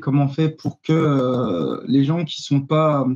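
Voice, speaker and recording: A man speaks with an Arabic accent. Noticeable background noise runs behind him. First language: Arabic (speaking French). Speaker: activist. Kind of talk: panel discussion. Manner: hesitant, many fillers.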